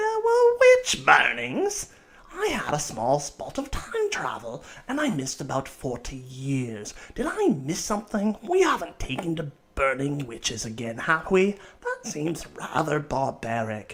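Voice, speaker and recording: A man uses a put-on character voice with fairly high pitch. His pace is moderate. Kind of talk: radio talk show host. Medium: audio drama. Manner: genteel, fussy.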